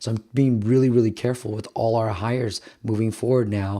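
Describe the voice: A man talks at a fairly quick pace in a fairly low, raspy voice with little pitch movement. His tone is dark and mellow.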